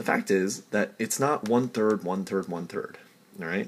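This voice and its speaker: A man talks at a moderate pace. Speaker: chemistry tutor. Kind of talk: tutorial. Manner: halting.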